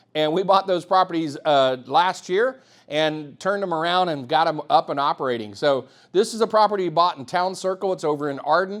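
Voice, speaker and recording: Fairly quick in pace, a man speaks with a high pitch and ordinary pitch variation. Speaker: real estate investor and property manager. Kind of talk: webinar presentation. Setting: online webinar with chat. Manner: fast.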